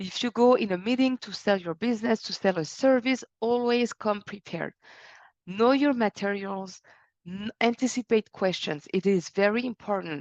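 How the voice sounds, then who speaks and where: Against a quiet background, a woman with a French accent and a fairly high pitch speaks at a moderate pace with ordinary pitch variation, the sound dry and close with no echo. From France. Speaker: business consultant and speaker. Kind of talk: webinar presentation.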